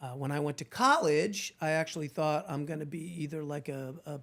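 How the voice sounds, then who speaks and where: A man talks at a fairly quick pace in a fairly high voice. The recording is very clean, with a silent background. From New Jersey, moved to Southern California in junior high. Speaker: trial lawyer. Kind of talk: casual interview conversation. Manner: talkative, animated.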